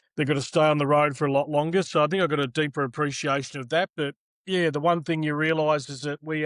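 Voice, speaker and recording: A man with an Australian accent speaks at a fairly high pitch with fairly even intonation, recorded dry and close with no echo. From Australia, Melbourne. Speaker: tennis broadcaster. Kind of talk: interview.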